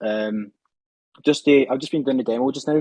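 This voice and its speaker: A man in a Scottish accent, dark and mellow in tone, fairly even in intonation, with a dry, close sound and no echo. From Scotland. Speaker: trading student and racing driver. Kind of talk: interview. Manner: fast.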